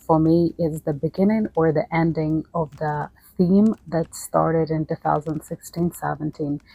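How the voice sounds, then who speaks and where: With a non-native accent, a woman talks at a fairly slow pace in a very deep, low pitch, keeping her intonation fairly even. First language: not English. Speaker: astrology YouTuber. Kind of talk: casual behind-the-scenes talk. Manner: halting with pauses.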